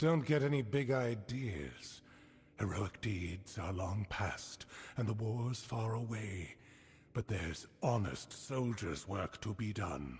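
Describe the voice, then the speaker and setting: A man performs a put-on character voice at a fairly low pitch. He goes at a fairly slow pace with lively intonation. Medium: video game. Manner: stern, formal, measured.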